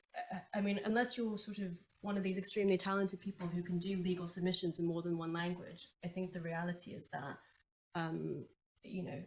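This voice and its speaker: A somewhat breathy woman's voice with fairly even intonation and big swings in loudness. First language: Chinese. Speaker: commercial barrister. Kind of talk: panel discussion.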